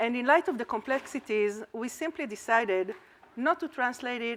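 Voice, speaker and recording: At a moderate pace, a woman speaks with an Israeli accent. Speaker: academic researcher presenting at a conference. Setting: conference talk.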